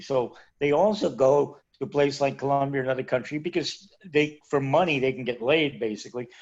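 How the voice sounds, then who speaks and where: The background is quiet as a man talks at a fairly quick pace. He has an ordinary speaking voice with fairly high pitch. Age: 60s. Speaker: retired expat. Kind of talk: interview.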